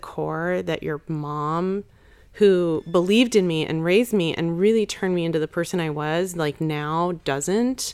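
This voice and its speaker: Over a very clean recording with a silent background, a woman with a plain, everyday voice speaks at a fairly slow pace, her fairly low pitch showing ordinary pitch variation. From Chicago, US Midwest. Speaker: makeup company co-founder. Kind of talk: casual interview.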